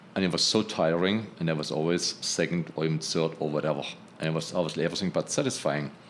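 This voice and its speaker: With a German accent, the speaker goes at a very fast pace with ordinary pitch variation and very even loudness. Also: man, very deep, low pitch for a man. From Germany. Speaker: textile engineer and healing prayer group leader. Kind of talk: casual interview conversation.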